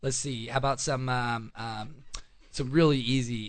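At a moderate pace, a plain, everyday voice carries fairly even intonation. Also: man. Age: young. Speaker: gardener and landscaper. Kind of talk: gardening tutorial. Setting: studio.

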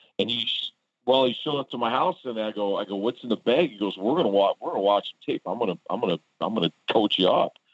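Speaking very fast with a Midwestern American accent, a man uses a medium pitch and ordinary pitch variation. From Warren, Michigan (Detroit suburb). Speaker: high school football coach. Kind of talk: interview. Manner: hesitant with fillers.

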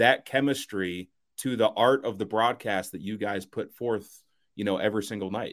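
In an American accent, a man talks at a fairly slow pace. He has a plain, everyday voice with ordinary pitch variation. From US Midwest, Cincinnati. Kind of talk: casual chat.

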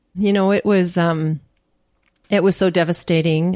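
Recorded very cleanly against a silent background with a dry, close sound and no echo, a normal speaking voice with a Canadian accent moves at a fairly slow pace with ordinary pitch variation. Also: woman. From Canada (Churchill, Manitoba). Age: 50s. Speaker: cancer survivor and Ironman athlete. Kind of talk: interview, personal story. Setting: at her home.

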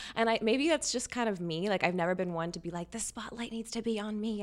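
A woman with an American accent talks at a very fast pace, with hardly any pauses. Her medium pitch shows ordinary variation. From Louisiana, US South. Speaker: fashion designer. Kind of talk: interview. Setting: studio. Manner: animated.

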